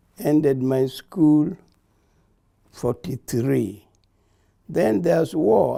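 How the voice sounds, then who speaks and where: With a Kenyan accent, a man speaks very slowly in a medium-pitched, dark, mellow tone, leaving long, frequent pauses. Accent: Kenyan (Luo) English. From Kenya, Kisumu County. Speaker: war veteran. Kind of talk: oral history interview. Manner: halting.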